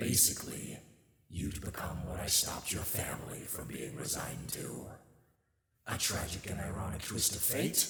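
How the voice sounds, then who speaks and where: A man puts on a character voice at a moderate pace, with a slight echo. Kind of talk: ASMR roleplay audio. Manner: sassy, mocking.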